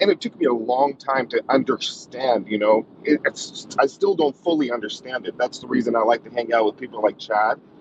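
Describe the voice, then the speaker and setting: Amid noticeable background noise, a man talks at a fairly quick pace with ordinary pitch variation and a dry sound with no echo. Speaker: guest. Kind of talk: panel discussion talk. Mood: appreciative, relaxed. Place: car. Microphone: video call.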